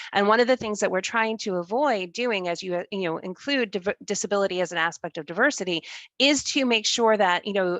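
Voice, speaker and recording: A woman has an ordinary speaking voice with an American accent, medium in pitch. She speaks at a fairly quick pace with ordinary pitch variation. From New York. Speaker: webinar moderator. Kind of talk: panel discussion.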